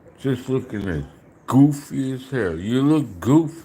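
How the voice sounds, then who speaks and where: A man at a very slow pace. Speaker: food eating livestreamer. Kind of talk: casual live stream chat. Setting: live stream. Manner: talking low.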